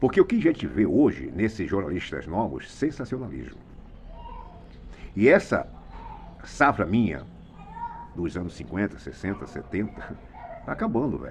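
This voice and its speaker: Long, frequent pauses break up speech at a moderate pace, and the loudness swings a lot. The pitch ranges very widely over noticeable background noise. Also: man, fairly low pitch for a man. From Brazil, Mato Grosso. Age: 70s. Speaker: retired radio and TV journalist. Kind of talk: opinion monologue. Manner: animated.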